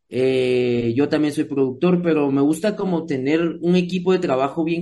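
A fairly high-pitched man with a Guatemalan accent, at a moderate pace with ordinary pitch variation. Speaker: musician and music producer; guest. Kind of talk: interview. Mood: relaxed, friendly. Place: home room. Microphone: video call.

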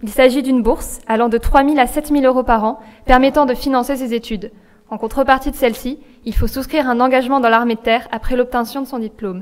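A woman's high-pitched voice at a very fast pace, with fairly even intonation. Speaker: student activist; speaker. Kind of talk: political rally speech. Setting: stage with audience. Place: hall. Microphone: podium.

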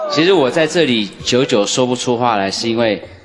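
A man talks with lively intonation at a moderate pace while noticeable background noise carries on behind him. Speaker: dating show panelist; panelist. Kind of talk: dating show banter. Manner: playful. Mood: moved, hesitant, shy. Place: stage. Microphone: handheld.

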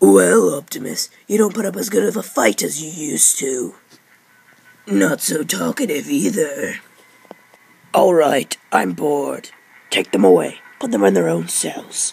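In a put-on character voice, a man speaks at a moderate pace, fairly high in pitch with very wide pitch swings. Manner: mocking, arrogant.

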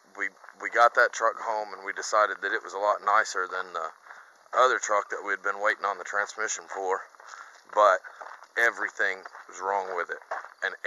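A man talks at a fairly quick pace with big swings in loudness. The sound is dry with no echo. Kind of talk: casual vlog chat. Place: farm machine. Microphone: phone near.

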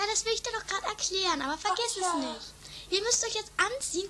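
A woman does a put-on character voice at an extremely high pitch and a very fast pace, with clear background noise. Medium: audio drama. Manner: bossy, impatient.

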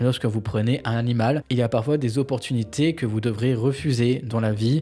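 A man speaks with fairly even intonation and a dark, mellow tone. His voice is somewhat breathy. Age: 20s. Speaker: YouTuber, lifestyle vlogger. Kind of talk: casual talking-head vlog monologue.

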